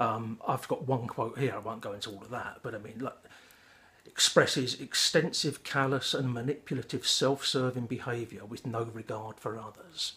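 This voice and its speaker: In an English accent, this bright, sharp voice moves at a moderate pace with fairly even intonation and big swings in loudness. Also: man. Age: 60s. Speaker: pipe-smoking vlogger, retired civil servant. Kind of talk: personal monologue, storytelling. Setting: home, smoking a pipe. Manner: halting, frequent ums.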